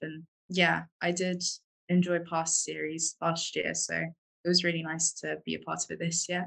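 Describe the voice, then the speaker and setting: Speaking with a London accent, a woman keeps a fairly low pitch, monotone, flat intonation and a moderate pace. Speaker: architecture student. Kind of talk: casual chat.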